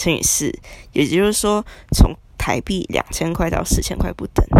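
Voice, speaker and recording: Long, frequent pauses break up a woman's speech, which moves at a moderate pace. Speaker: podcaster. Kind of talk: casual monologue.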